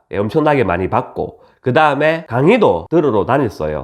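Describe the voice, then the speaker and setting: A man speaks with vocal fry over a quiet background. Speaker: real estate investor, YouTube host. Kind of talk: informal lecture.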